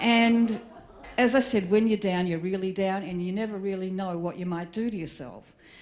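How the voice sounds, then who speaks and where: A woman's medium-pitched voice with an Australian accent, ordinary pitch variation, a moderate pace and audible room echo. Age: 60s. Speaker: comedian. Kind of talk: stand-up.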